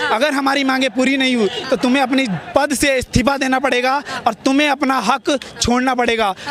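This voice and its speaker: An extremely high male voice at a fairly slow pace, amid noticeable background noise. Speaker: student protester. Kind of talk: street interview. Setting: outdoors at a protest. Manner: animated.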